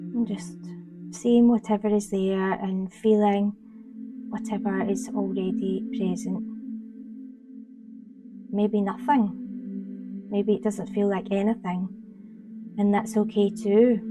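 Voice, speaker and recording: In a Scottish accent, the speaker goes at a very slow pace with long, frequent pauses and monotone, flat intonation over music in the background. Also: woman, medium pitch for a woman. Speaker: meditation guide. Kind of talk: guided meditation. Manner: slow, soft-spoken.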